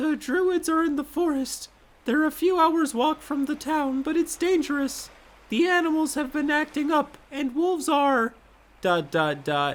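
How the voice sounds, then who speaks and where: This man puts on a character voice pitched extremely high. The pace stays moderate. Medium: read story.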